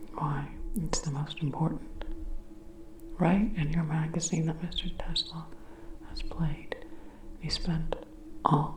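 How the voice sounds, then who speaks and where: A woman talks at a very slow pace. Noticeable background noise can be heard. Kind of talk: ASMR sleep reading. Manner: soft-spoken, slow.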